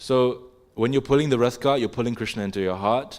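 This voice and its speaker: A man at medium pitch with an English accent and lively intonation. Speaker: religious class teacher. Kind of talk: religious class discussion. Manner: casual, conversational with filler words.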